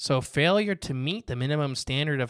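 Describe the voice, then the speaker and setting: In a very clean recording with a silent background and a dry, close sound with no echo, a man with an ordinary speaking voice talks at a medium pitch and a moderate pace. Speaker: podcast host. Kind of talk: casual conversation about conspiracy theories.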